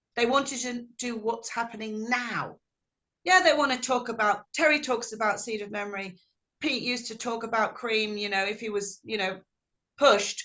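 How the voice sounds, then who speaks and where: A woman with an English accent, fairly high in pitch, bright and sharp in tone, at a moderate pace with ordinary pitch variation. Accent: English, kept unamericanized. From England. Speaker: blues singer. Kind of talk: interview. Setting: video call.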